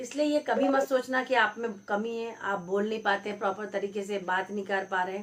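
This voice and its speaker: Over noticeable background noise, a woman talks with hardly any pauses and ordinary pitch variation. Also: medium pitch for a woman, moderate pace. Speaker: YouTube creator giving advice. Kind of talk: motivational talk to camera.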